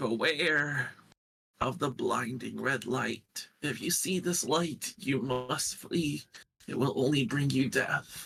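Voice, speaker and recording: Using a raspy put-on character voice, a man speaks fairly slowly at a fairly high pitch. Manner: ominous, warning.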